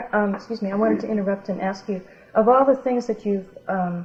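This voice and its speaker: Medium-pitched female speech at a fairly quick pace, with noticeable background noise behind it. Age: 40s. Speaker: family interviewer. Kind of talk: oral history interview.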